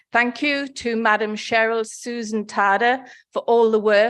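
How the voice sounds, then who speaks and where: A woman's fairly high voice in a northeast English accent, at a fairly slow pace, over a quiet background. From northeast England. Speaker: nursing federation representative, conference speaker. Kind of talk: conference speech. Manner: formal.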